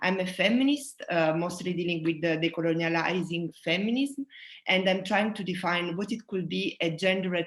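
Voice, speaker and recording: A woman talks at a moderate pace with a fairly low pitch. Her pitch varies in an ordinary way. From southern Italy. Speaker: sound artist. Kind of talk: presentation talk. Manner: halting.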